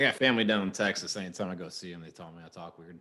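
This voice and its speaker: Very deep and low in pitch, a man with an American accent speaks at a very fast pace in a bright, sharp tone, with ordinary pitch variation and big swings in loudness. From Chicago.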